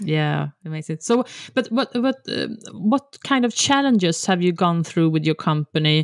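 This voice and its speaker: Lively intonation comes through as a woman speaks with a Swedish accent in a dry, close recording with no echo. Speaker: podcast host. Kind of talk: casual interview chat.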